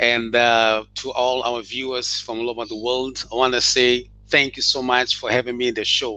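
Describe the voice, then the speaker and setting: A bright, sharp tone with monotone, flat intonation, a moderate pace and hardly any pauses. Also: man, medium pitch for a man. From Mozambique. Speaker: author and educator. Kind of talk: interview. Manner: halting.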